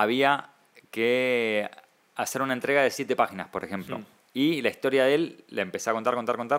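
At a fairly quick pace, a man with an unremarkable speaking voice talks at medium pitch with ordinary pitch variation. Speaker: comic artist and writer. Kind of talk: casual interview.

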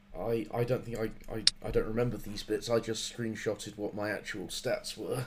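Here a man talks at a medium pitch. His intonation is flat and monotone. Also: moderate pace. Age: 20s. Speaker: comedy podcast host. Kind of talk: casual chat.

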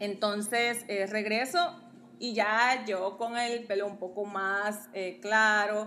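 In a room with audible echo, a woman speaks very slowly in a fairly high pitch with a bright, sharp tone. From Guatemala. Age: 30s. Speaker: model and social media influencer. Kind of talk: casual chat. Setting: at her home, also live on TikTok.

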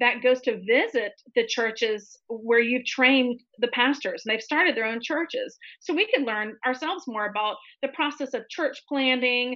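A woman with an American accent talks in a high pitch at a moderate pace with ordinary pitch variation. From US South, Tallahassee, Florida. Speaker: author. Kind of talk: interview testimony.

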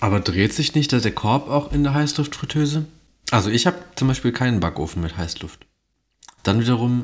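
Lively intonation marks this man's ordinary speaking voice, which sits at a medium pitch and moves at a fairly quick pace. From Mönchengladbach, western Germany. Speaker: podcast host. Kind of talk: casual chat.

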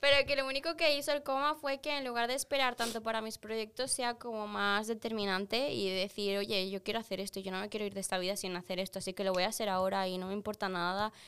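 A woman with a fairly high pitch and a bright, sharp tone races along at a very fast pace with hardly any pauses and ordinary pitch variation. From Peru, moved to Spain around age 7 or 8. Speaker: athlete and referee. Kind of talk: casual chat.

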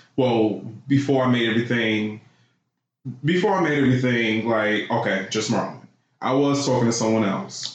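A man of medium pitch speaks at a moderate pace with ordinary pitch variation and very even loudness, leaving long, frequent pauses as room echo is heard. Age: 30s. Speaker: podcast guest. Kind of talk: casual chat.

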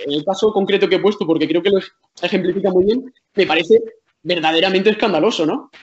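A man's high-pitched voice at a very fast pace. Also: ordinary pitch variation. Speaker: journalist. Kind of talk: casual chat.

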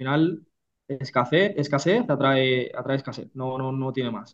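A man's fairly high-pitched, plain, everyday voice with ordinary pitch variation. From Catalonia, Spain (Reus, Tarragona). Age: 30s. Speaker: real estate investor and entrepreneur. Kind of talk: interview.

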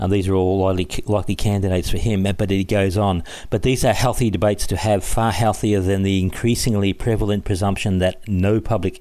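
With an Australian accent, a man speaks in a fairly low pitch with a dark, mellow tone and fairly even intonation. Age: 50s. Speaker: podcast host. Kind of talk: casual monologue.

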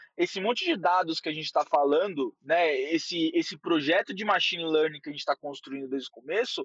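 With a strong São Paulo accent, a man talks at a fairly quick pace. His pitch swings very widely. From São Paulo, Brazil. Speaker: head of growth at a company. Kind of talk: casual interview.

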